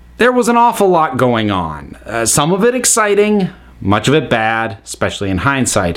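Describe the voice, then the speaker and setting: A man's voice swings very widely in pitch while keeping a moderate pace. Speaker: podcast host. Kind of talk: solo monologue about a favorite show. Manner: self-described grouchy, critical.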